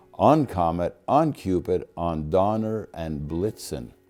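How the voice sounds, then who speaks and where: A man's intonation is lively while music sits in the background. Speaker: grandfather. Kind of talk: poetry reading.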